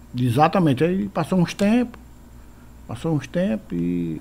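A man's voice has a dark, mellow tone and a fairly high pitch. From Ceará, Brazil (Canindé). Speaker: veteran forró accordionist and bandleader. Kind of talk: casual interview. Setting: his home.

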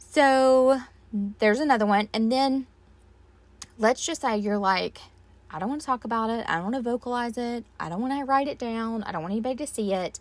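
This woman speaks in a Southern US accent at a fairly quick pace. Her pitch variation is ordinary. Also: fairly high pitch for a woman. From US South. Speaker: podcast host. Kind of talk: solo podcast monologue. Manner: casual, many fillers and laughs.

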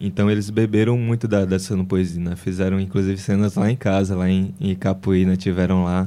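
At a moderate pace, a man with a very deep, low pitch and a dark, mellow tone speaks in a monotone, flat intonation, with very even loudness and hardly any pauses. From Ceará, Brazil. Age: 20s. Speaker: journalist and author. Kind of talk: interview.

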